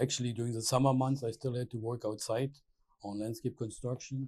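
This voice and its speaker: Over a silent background, a very clean recording captures a man with a German accent. He speaks at a fairly quick pace and a medium pitch, sounding somewhat breathy. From Germany (Berlin). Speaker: landscape architect. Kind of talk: oral history interview. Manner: halting, many hesitations.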